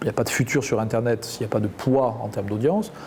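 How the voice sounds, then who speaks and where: A man's medium-pitched voice in a Roussillon accent, very fast, with ordinary pitch variation. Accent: southern French (Perpignan). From southern France, Perpignan. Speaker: media executive. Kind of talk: interview.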